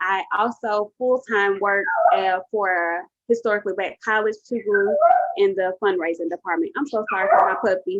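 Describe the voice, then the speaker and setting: A woman in a plain, everyday voice speaks at a moderate pace and medium pitch, with ordinary pitch variation and a dry, close sound with no echo. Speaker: career coach. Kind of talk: webinar presentation. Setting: webinar.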